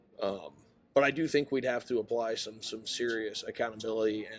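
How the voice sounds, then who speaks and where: Speaking at a very fast pace, a man talks with a Maine accent. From Maine, US. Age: 20s. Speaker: podcast host, student. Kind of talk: interview. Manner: casual.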